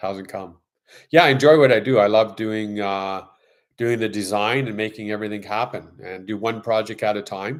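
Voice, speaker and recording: A man with a Canadian accent and a plain, everyday voice, fairly low in pitch, at a moderate pace with fairly even intonation and big swings in loudness, on a very clean recording against a silent background. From Canada. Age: 60s. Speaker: YouTuber and interior design contractor. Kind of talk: casual live stream chat. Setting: live stream.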